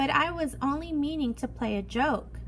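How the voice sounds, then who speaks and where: Someone uses a put-on character voice at a moderate pace. Clear background noise sits behind it. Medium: read story.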